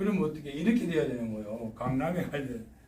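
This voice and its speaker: A man with a strong Gyeongsang accent speaks in a fairly high, animated voice. Noticeable background noise and audible room echo fill the recording. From Gyeongsang Province, South Korea. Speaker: retiree turned railway signal technician. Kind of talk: casual talk giving career advice. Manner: colloquial, animated.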